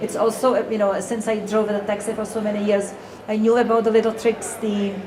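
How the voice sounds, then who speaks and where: Against noticeable background noise and an audible room echo, a woman talks at a fairly quick pace in a fairly high voice with a monotone, flat intonation. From Czech Republic. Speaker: author. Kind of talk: interview at a public event. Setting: live audience in a café. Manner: hesitant, many fillers.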